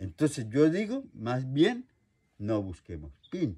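This man's pitch swings very widely. His voice is somewhat breathy. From Colombia, Meta. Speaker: traditional healer. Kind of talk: interview answer.

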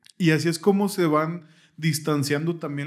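A man with an unremarkable speaking voice, pitched fairly high, talks at a moderate pace over a quiet background. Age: 30s. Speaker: podcast host. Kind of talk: casual chat. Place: studio. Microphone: studio mic.

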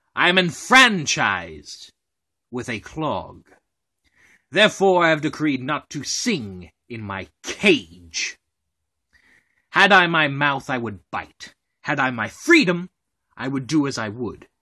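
A man uses a put-on character voice, fairly high in pitch, talking at a fairly slow pace with long, frequent pauses over a quiet background. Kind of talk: Shakespeare monologue performance.

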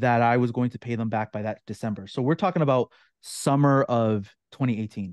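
With a Canadian accent, a man speaks at a fairly quick pace and with ordinary pitch variation. The sound is dry with no echo, and the background is quiet. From Ontario, Canada. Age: 30s. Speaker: online course creator. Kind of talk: interview. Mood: reflective storytelling. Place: home room. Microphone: video call.

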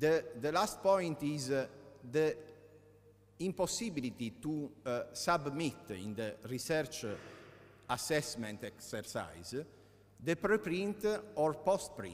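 A man with an Italian accent speaks at a very slow pace with long, frequent pauses. His fairly high pitch swings very widely. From Italy. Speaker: law professor. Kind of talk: conference talk. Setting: conference hall with audience. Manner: halting, many hesitations.

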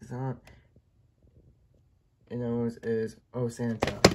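A man's slightly mellow voice

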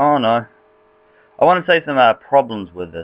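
The speaker has a New Zealand accent. The intonation is lively. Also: man. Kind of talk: casual game tutorial screen recording. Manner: casual, rambling.

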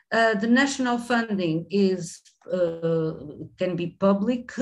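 A woman with a Portuguese accent at a very slow pace, lively intonation, over a quiet background. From Portugal. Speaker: professor. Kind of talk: webinar presentation. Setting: video call. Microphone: webcam.

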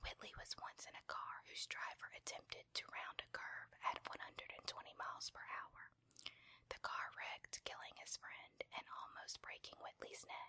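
Someone whispers at a fairly slow pace. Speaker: ASMR video creator. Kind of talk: whispered reading aloud of a biography, ASMR style. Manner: soft, hushed, slow and even, intimate.

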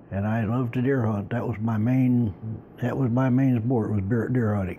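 Light background noise sits behind a man speaking at a moderate pace. His tone is dark and mellow, with ordinary pitch variation. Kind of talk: interview answer. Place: home room.

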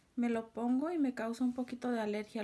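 Quiet and at a moderate pace, a woman speaks with fairly high pitch. Her tone is dark and mellow, and her intonation fairly even.

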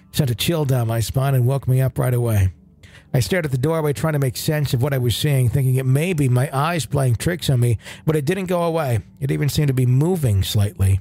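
A man's medium-pitched voice, dark and mellow in tone and somewhat breathy, with lively intonation, very even loudness and a fairly quick pace. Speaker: podcast host. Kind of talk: ghost story telling, reading a listener's first-person account aloud.

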